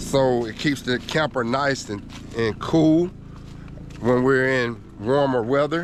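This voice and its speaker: Noticeable background noise sits behind a man with a Georgia accent. His voice is medium in pitch with ordinary pitch variation. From Georgia, US South. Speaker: RV travel vlogger. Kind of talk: casual vlog talk.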